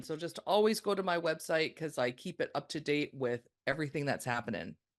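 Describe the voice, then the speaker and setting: A woman with a Canadian accent talks at a fairly quick pace in a plain, everyday voice. Her pitch is fairly low, and the background is quiet. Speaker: podcast guest, consultant.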